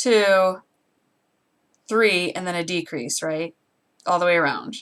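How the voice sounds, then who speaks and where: Fairly low-pitched woman with an American accent, ordinary pitch variation and a fairly slow pace. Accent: Great Lakes accent per online survey. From US Great Lakes region. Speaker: crafter livestreamer. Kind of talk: casual livestream tutorial.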